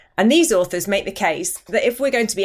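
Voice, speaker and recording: A woman with a British accent talks with lively intonation on a very clean recording with a silent background. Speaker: podcast host and journal editor. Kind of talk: casual discussion.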